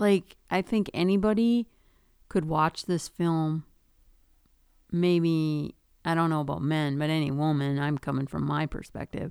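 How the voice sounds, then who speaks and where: A woman with a Minnesotan accent, very deep and low in pitch, with ordinary pitch variation and a fairly slow pace, on a very clean recording with a silent background and a dry, close sound with no echo. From Duluth, Minnesota. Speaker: podcast co-host, mother of host. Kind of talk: casual chat.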